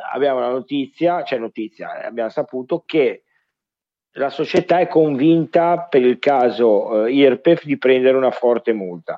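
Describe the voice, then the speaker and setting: Fairly slow delivery from a man, medium in pitch and with ordinary pitch variation. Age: 40s. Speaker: football podcast co-host. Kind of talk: casual chat. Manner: halting.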